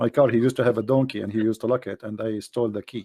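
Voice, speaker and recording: A man with an Arabic accent talks at a very fast pace and fairly low pitch, his dark, mellow tone heard in a dry, close sound with no echo. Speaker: debater on Islam. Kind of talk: live online debate. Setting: voice chat room streamed live. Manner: animated, joking.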